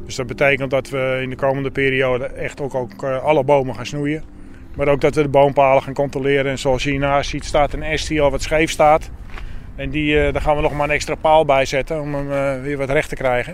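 With noticeable background noise behind him, a man in a fairly high pitch speaks at a fairly quick pace with monotone, flat intonation. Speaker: arborist adviser. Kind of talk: on-site explanation.

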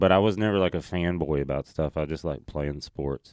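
With a Southern US accent, the speaker talks at a moderate pace with fairly even intonation, in a dry, close sound with no echo over a quiet background. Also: man. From Tennessee, US South. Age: 30s. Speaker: stand-up comedian. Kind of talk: casual chat.

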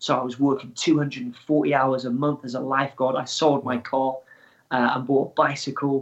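Against a quiet background, a man with a Welsh accent speaks in a flat monotone at medium pitch and a moderate pace. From Wales. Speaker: adventurer and extreme athlete. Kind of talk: interview.

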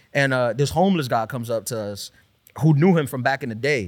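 A man with a New York accent speaks at a fairly high pitch, making very wide pitch swings. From New York City (Queens). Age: 30s. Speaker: stand-up comedian. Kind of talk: casual chat.

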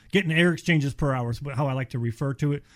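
Speaking at a very fast pace with an American accent, a man uses a fairly high pitch and fairly even intonation. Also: very clean recording, silent background. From US Midwest, Cleveland area, Ohio. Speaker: insulation company representative. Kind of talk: casual radio chat. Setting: studio.

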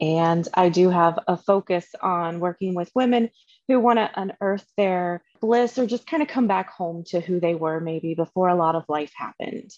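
An unremarkable speaking voice at a moderate pace, with ordinary pitch variation and a dry, close sound with no echo. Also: woman, fairly low pitch for a woman. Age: 40s. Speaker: wellness and life coach. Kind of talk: casual chat.

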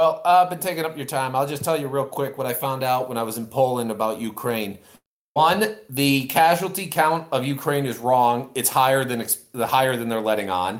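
With a plain, everyday voice, a man talks at a moderate pace and a medium pitch, using ordinary pitch variation. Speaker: caller. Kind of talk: casual chat.

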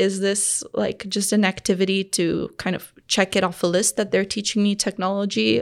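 Over a very clean recording with a silent background, a woman speaks at medium pitch with fairly even intonation in an unremarkable speaking voice. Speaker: startup founder and designer. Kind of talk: casual interview.

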